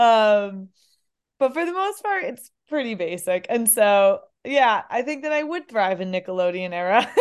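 Very wide pitch swings mark this woman's animated tone. She has a fairly high pitch and an American accent. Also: moderate pace, quiet background. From upstate New York. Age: 30s. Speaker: comedian and former college runner. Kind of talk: casual chat.

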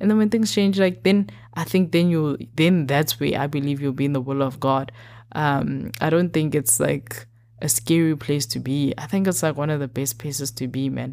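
Lively intonation carries the speech at a moderate pace in a very clean recording with a silent background. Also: woman, very deep, low pitch for a woman. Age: 20s. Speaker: podcast host. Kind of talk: casual solo talk on faith.

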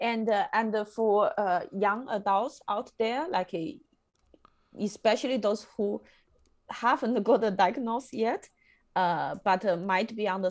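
A woman's fairly high voice in a Chinese accent, very slow, with ordinary pitch variation, on a very clean recording with a silent background. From China. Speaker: podcast host. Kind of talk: casual interview chat. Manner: halting, many fillers.

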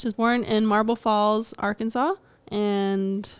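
Soft-spoken woman at medium pitch and a fairly slow pace, with a dry, close sound and no echo. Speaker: podcast co-host, string player. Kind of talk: casual chat. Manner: soft-spoken, struggles to project.

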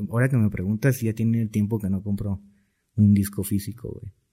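This man's fairly low voice is dark and mellow in tone, somewhat breathy, with fairly even intonation. He talks at a moderate pace on a very clean recording with a silent background. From Mexico, Cancún (Quintana Roo). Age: 20s. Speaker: music producer. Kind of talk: casual chat.

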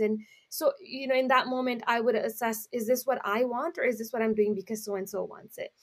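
Fairly quick speech with hardly any pauses and ordinary pitch variation. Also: woman. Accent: Canadian. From Canada, Brampton Ontario, Punjabi community. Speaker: nonprofit founder. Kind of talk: casual interview.

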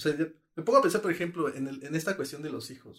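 A man with a fairly high voice talks at a fairly quick pace, his intonation lively. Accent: Mexican. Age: 20s. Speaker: podcast co-host. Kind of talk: casual chat.

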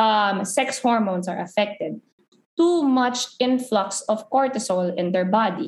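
At a fairly slow pace, a woman speaks with a fairly high pitch, lively intonation and a somewhat breathy sound. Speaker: nutrition coach. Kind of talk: podcast interview.

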